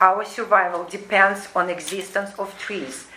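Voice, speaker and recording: A woman's medium-pitched voice with a non-native accent at a very slow pace, amid noticeable background noise and audible room echo. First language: not English. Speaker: resident at homeowners association meeting. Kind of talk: reading a prepared statement. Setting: community board meeting. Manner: halting.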